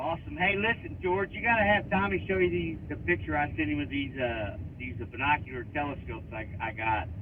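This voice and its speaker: A medium-pitched man with an American accent, fairly quick with hardly any pauses and very wide pitch swings, amid noticeable background noise and audible room echo. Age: 60s. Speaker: radio caller. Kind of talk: radio call-in question. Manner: halting, many fillers.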